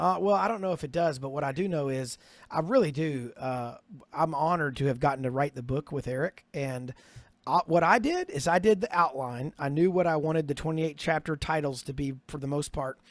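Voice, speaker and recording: A man's normal speaking voice, fairly high in pitch, with ordinary pitch variation and a fairly quick pace. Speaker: author and ministry leader. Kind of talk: casual interview chat.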